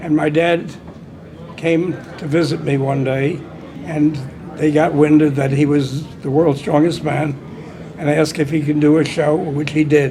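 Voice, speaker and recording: In a room with audible echo and noticeable background noise, a man with a fairly high pitch talks at a fairly slow pace in a monotone, flat intonation, leaving long, frequent pauses. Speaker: old-time strongman. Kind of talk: interview testimony.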